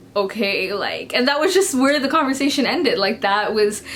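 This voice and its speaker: With lively intonation and a moderate pace, a woman talks over noticeable background noise in a space with audible room echo. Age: 20s. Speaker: book vlogger. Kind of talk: personal vlog talk. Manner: hesitant, many fillers.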